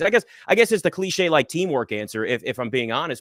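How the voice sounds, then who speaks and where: A loud, very fast man with a fairly high pitch and very wide pitch swings, dry and close with no echo. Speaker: sports media host. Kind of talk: interview conversation.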